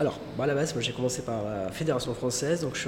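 Words pour out very rapidly amid noticeable background noise and an audible echo off the room. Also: man. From southern France (Marseille area). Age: 40s. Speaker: dive centre manager and instructor. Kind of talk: interview conversation. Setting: dive centre on an island.

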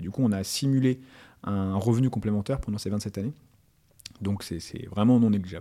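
In a fairly low voice with a dark, mellow tone, a man speaks at a fairly quick pace with ordinary pitch variation. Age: 30s. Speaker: fintech entrepreneur. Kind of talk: interview. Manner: halting, many fillers.

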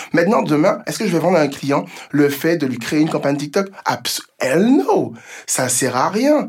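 A man's fairly high voice at a moderate pace, with lively intonation, over noticeable background noise. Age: 30s. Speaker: entrepreneur. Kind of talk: interview.

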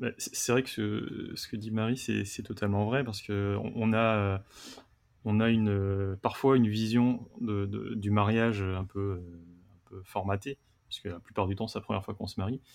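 Speaking at a fairly slow pace, a man keeps his fairly low voice in a flat monotone. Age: 30s. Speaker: wedding photographer. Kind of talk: casual roundtable chat. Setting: remote video call. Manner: halting, many repetitions.

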